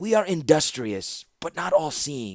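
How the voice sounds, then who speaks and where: Putting on a character voice, a man speaks at a fairly slow pace and fairly high pitch, with very wide pitch swings. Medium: read story. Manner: smooth, obsequious.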